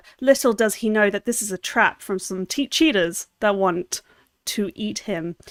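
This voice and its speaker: In an American accent, a woman speaks at a medium pitch and a fairly slow pace with ordinary pitch variation, in dry, close sound with no echo. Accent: British with slight American twang. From London, England. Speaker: video editor. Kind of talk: livestream tutorial. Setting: livestream. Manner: casual, chatty.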